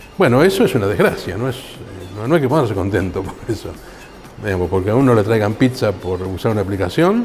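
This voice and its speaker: Music plays in the background as a man talks at a very fast pace. His pitch varies in an ordinary way. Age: 60s. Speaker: computer science professor and researcher. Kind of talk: interview. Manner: hesitant, with fillers.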